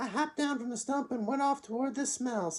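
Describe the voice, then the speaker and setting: In a high, sing-song put-on character voice, the speaker moves at a fairly quick pace with a gentle tone. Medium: read story. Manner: sing-song, gentle.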